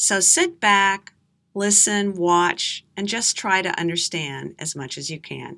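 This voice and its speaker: A woman with an American accent speaks at a very slow pace in a bright, sharp tone with ordinary pitch variation. The recording is very clean, with a silent background. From USA. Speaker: English teacher. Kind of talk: slow storytelling for learners. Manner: clear, deliberate.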